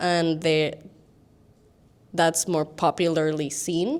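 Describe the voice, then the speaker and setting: A woman speaks with a non-native accent at a fairly low pitch. Her intonation is flat and monotone. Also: very clean recording, silent background. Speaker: design student panelist. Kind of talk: panel talk. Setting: stage with audience.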